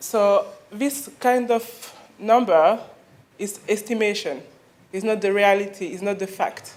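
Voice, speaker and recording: With audible room echo, a woman speaks at a fairly slow pace and with ordinary pitch variation. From Mali, raised in France. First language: French. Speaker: clinic founder, FGM campaigner. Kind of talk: conference talk. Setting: conference stage with audience. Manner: hesitant, many fillers.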